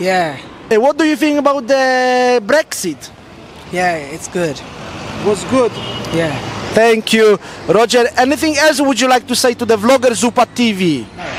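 Over light background noise, a man with an extremely high pitch talks at a fairly slow pace, his intonation lively and the sound dry with no echo. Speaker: vlogger. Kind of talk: street interview. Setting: outdoors. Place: street. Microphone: handheld.

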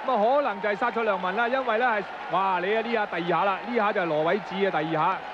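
Talking at a very fast pace with hardly any pauses, a man with a high pitch and ordinary pitch variation is heard over noticeable background noise. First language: Cantonese (speaking Vietnamese). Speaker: football commentator. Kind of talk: live commentary.

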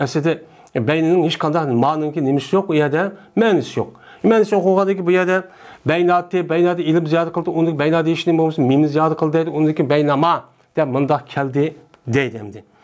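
Speaking at a fairly quick pace against a quiet background, a man uses a fairly high pitch with ordinary pitch variation. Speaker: Islamic teacher. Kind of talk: lecture. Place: home room. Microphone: lapel.

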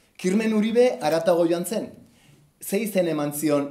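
A man talks with lively intonation. The background is quiet, and there is audible room echo. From Basque Country. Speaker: cartoonist presenting his comic book. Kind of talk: book presentation talk. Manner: hesitant, many fillers. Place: hall. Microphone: camera far.

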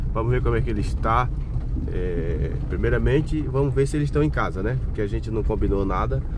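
The recording is dry with no echo, yet noticeable background noise is present. This man keeps a moderate pace. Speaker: vlogger filming from passenger seat. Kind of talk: casual vlog chat. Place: car.

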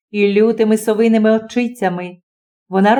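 A quiet background behind a natural reading voice, its intonation fairly even

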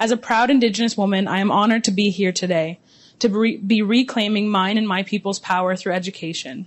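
With a Canadian accent, a woman speaks at a fairly quick pace. Her intonation stays fairly even. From Six Nations of the Grand River, Ontario, Canada; Ontario, Canada. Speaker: student event host. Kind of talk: formal event hosting, scripted. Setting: room with live audience. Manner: formal. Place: hall. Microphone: handheld.

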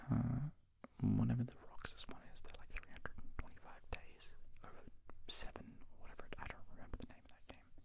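A man whispering at a fairly quick pace, with big swings in loudness. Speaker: ASMR creator. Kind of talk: soft-spoken ASMR chat about video games. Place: home room. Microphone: handheld.

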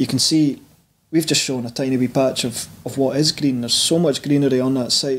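Speaking at a fairly quick pace, a man with a medium pitch and a slightly husky edge keeps his intonation fairly even.

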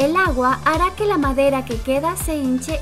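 Over music in the background, a woman with a high pitch speaks in an upbeat tone with lively intonation. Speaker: narrator. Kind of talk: top-list video narration. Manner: lively, upbeat.

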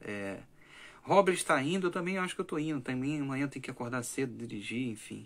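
Very fast delivery with lively, bouncing intonation. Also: man, fairly high pitch for a man. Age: 20s. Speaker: language teacher and content creator; language teacher, content creator. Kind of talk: late-night livestream monologue. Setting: livestream at night. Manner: animated. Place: home room.

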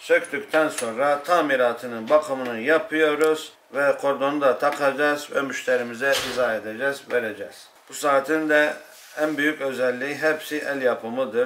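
Over light background noise, a man talks at a moderate pace in an unremarkable speaking voice, fairly high in pitch with fairly even intonation. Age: 40s. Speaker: watchmaker. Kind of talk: interview. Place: workshop.

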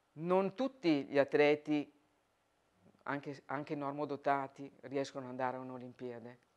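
At a moderate pace, the speech has fairly even intonation, big swings in loudness, and long, frequent pauses. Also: woman, very deep, low pitch for a woman. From northern Italy, Verona; northern Italy. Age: 50s. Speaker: Paralympic archer. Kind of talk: interview testimony; interview answer. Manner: hesitant repetitions. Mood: calm, reflective.

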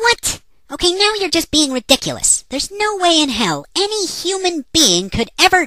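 Pitched extremely high, the put-on character voice keeps a moderate speed. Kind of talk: comic dialogue. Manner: sarcastic, exasperated.

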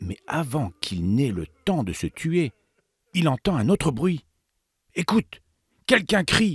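A man speaks very slowly with long, frequent pauses, his tone dramatic and touched by vocal fry. His fairly high pitch swings very widely, and the recording is very clean, with a silent background and a dry, close sound with no echo. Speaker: narrator of children's Bible story. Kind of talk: dramatic storytelling narration for children, Bible story read aloud; scripted narration. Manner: hushed, suspenseful, urging the listener to 'listen' with dramatic pauses.

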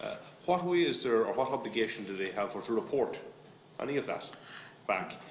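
A man with an Irish accent talks at a fairly quick pace. Audible room echo and light background noise surround him. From Ireland. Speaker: politician. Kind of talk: committee questioning. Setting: parliamentary committee room. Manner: halting, repetitive. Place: meeting room. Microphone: podium.

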